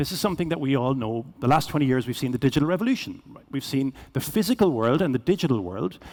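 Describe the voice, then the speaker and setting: A man with a Cork accent and a fairly high voice, on a very clean recording with a silent background. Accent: Irish (Cork). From Ireland, Cork. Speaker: business executive, keynote speaker. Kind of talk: keynote presentation. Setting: stage with audience. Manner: fast.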